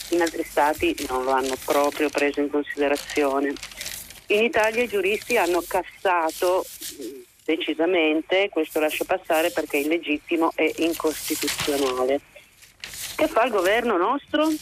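Against noticeable background noise, a woman talks at a moderate pace with lively intonation, very even loudness, and long, frequent pauses. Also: fairly low pitch for a woman. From Lombardy, Monza area. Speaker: caller. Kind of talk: radio call-in. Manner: hesitant, many fillers.

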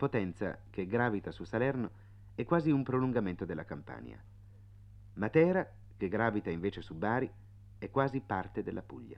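With long, frequent pauses, a man speaks at a moderate pace in a fairly low pitch, using vocal fry and lively intonation. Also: big swings in loudness. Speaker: radio travel writer narrator. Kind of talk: reading aloud a 1956 radio travelogue, scripted narration.

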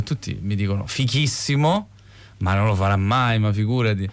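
A man with a normal speaking voice, medium pitch and fairly quick pace, on a very clean recording with a silent background. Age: 30s. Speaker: film director. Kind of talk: interview.

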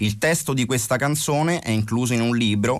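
A man with a plain, everyday voice, lively intonation and a fairly quick pace. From Italy. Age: 40s. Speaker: rapper. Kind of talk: interview.

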